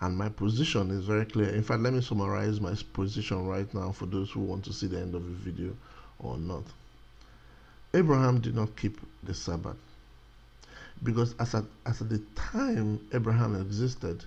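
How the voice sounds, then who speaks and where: A man with a fairly low pitch speaks at a moderate pace, somewhat breathy, with ordinary pitch variation. Long pauses come often. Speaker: religious teacher, video blogger. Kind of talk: religious teaching monologue. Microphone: new microphone.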